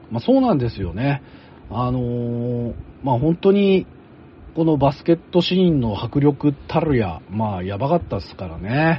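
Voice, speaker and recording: A man with a medium-pitched, somewhat breathy voice speaks at a moderate pace, his pitch swinging very widely. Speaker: podcast host and anime commentator. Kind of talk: casual discussion.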